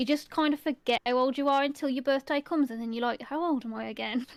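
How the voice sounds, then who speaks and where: A woman with an English Midlands accent speaks at a very fast pace and a high pitch, with ordinary pitch variation. The very clean recording has a dry, close sound with no echo and a silent background. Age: 30s. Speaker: ASMR youtuber, podcast co-host. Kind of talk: casual chat.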